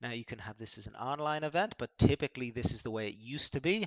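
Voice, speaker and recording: Speaking in a normal speaking voice, a man moves at a fairly quick pace with ordinary pitch variation, and the sound is dry and close with no echo. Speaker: sales coach for startup founders. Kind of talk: software review tutorial. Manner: casual, many fillers.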